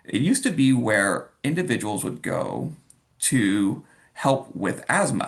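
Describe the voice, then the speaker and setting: With an American accent, a man talks at a fairly slow pace in a medium pitch, using vocal fry and lively intonation. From Los Angeles (La Crescenta). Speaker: workplace wellness officer. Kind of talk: interview podcast conversation. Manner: halting with frequent repetitions.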